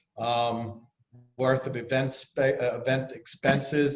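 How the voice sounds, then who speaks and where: A man with a Bronx accent, fairly high pitch and a fairly slow pace. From New York City, the Bronx. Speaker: treasurer of a neighborhood business group. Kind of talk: financial report at a virtual annual meeting. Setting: video call.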